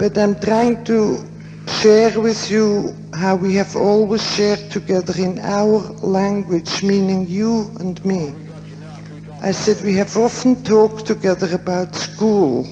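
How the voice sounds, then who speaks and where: A woman's fairly slow, fairly evenly intoned speech with music in the background. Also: medium pitch for a woman. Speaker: psychiatrist and author on death and dying. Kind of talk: conference lecture. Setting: theater, poor quality recording. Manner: quiet.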